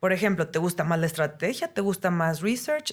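A woman with a plain, everyday voice, medium pitch and lively intonation, on a very clean recording with a silent background. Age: 40s. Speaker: UX designer and teacher. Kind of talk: interview.

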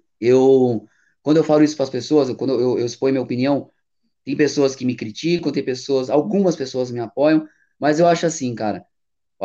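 Using a normal speaking voice, a man speaks at a fairly high pitch for a man, his pitch varying in an ordinary way. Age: 30s. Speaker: radio presenter. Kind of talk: casual interview.

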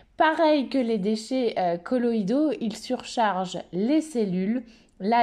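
A woman's dark, mellow voice, fairly high in pitch, with lively intonation at a very slow pace against a quiet background. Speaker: animal naturopath and podcast host. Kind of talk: solo educational podcast monologue.

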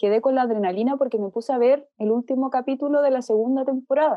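A woman's very fast, high-pitched speech in a Chilean accent, with fairly even intonation and very even loudness. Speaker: technology journalist. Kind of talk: casual chat.

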